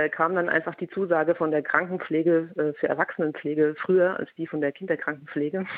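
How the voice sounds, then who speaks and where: Fairly even intonation marks this woman's fairly quick delivery. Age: 30s. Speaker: intensive care nurse and social media influencer. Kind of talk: interview.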